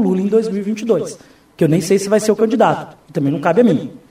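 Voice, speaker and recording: This man's voice sits high and moves at a fairly quick clip. His pitch varies in an ordinary way. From Brazil, Foz do Iguaçu (Paraná). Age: 30s. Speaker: mayoral candidate and teacher. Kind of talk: radio interview. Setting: radio studio.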